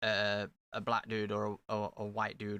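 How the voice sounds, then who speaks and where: Bright, sharp tone in a flat monotone with an East Midlands accent, the sound dry and close with no echo, on a very clean recording over a silent background. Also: man. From England, Nottingham (Meadows area). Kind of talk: casual chat.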